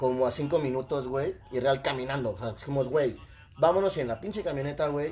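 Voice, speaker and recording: Music plays behind a man with a fairly high voice. He talks at a fairly quick pace with ordinary pitch variation. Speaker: psychologist. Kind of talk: casual chat.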